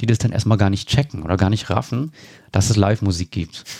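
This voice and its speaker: The voice has a dark, mellow tone, caught in a very clean recording with a silent background and a dry, close sound with no echo. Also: man. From Berlin, Germany. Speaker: improv theatre musician. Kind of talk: interview conversation.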